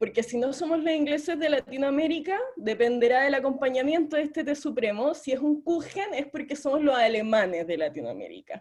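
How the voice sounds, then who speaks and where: A woman speaks in a Chilean accent at a high pitch. Her pace is fairly quick, with hardly any pauses. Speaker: debate audience speaker. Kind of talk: humorous debate speech.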